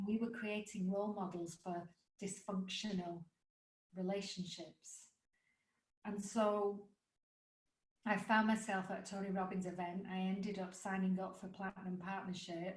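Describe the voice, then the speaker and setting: A woman with an English accent speaks at a medium pitch and moderate pace, somewhat breathy. Her intonation is monotone and flat, with long, frequent pauses. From England. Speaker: life coach and author. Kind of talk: podcast interview.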